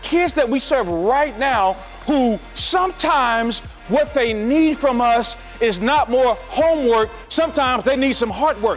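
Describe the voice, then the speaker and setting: Over music in the background, a man talks fairly slowly at an extremely high pitch, his tone passionate, his intonation lively and his loudness very even. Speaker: motivational keynote speaker for educators and students. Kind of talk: motivational keynote speech to audience. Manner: passionate, encouraging, emphatic.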